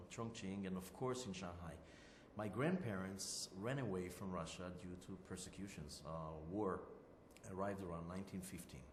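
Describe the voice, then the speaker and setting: Speaking at a moderate pace with an Israeli accent, a man uses a very deep, low pitch and ordinary pitch variation, with audible room echo and noticeable background noise. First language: Hebrew. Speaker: interviewee. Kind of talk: interview. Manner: halting, many fillers.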